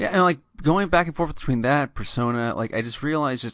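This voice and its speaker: Against a quiet background, a man talks fairly quickly in an ordinary speaking voice with lively intonation. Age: 30s. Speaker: grocery store butcher. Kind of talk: casual chat.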